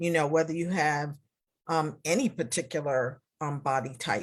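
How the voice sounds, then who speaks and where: A woman talks at a fairly slow pace with a very deep, low pitch and ordinary pitch variation. The recording is very clean, the background silent. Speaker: retreat founder and host. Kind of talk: casual live interview host.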